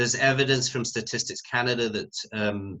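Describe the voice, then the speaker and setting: A man with a British accent and fairly even intonation. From UK. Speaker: sociology professor. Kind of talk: panel discussion.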